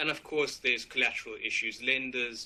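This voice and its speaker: This man has a South African accent. He speaks at a moderate pace. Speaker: finance lawyer. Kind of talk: webinar presentation. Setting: online webinar.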